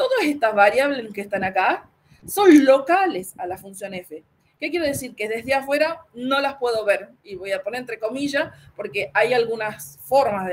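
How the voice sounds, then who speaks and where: A woman speaks at a fairly high pitch with lively intonation and big swings in loudness. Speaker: university lecturer. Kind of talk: lecture. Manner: fast; halting.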